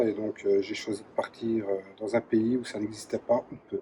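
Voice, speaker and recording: Over noticeable background noise, a man talks at a fairly slow pace with a medium pitch. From Belgium, Charleroi (Wallonia). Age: 40s. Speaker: former soldier running a creperie. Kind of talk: interview testimony. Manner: hesitant, many fillers.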